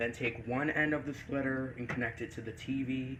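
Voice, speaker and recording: With audible echo from the room, a man talks at a medium pitch and a moderate pace, his intonation fairly even. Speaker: gaming YouTuber. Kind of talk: tutorial. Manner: halting.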